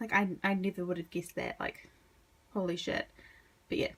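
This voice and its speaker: There's a somewhat breathy quality here. It belongs to a woman's voice. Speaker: manga collector video creator. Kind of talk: casual collection showcase.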